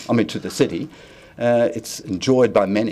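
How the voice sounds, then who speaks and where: A man speaks with a New Zealand accent. His pitch varies in an ordinary way. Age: 70s. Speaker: community volunteer group leader. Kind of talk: public submission to council hearing. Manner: halting, many restarts.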